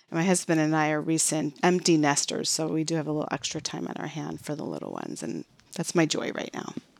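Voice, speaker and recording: Over noticeable background noise, a woman with an American accent talks very fast in a very deep, low pitch and a monotone, flat intonation. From US Midwest, Chicago. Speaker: corporate training manager. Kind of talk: interview.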